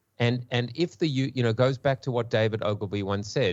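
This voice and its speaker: A man's medium-pitched voice in a South African accent, at a moderate pace with ordinary pitch variation. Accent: pseudo South African. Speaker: marketing panelist. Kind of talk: panel discussion. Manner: halting, repeats words.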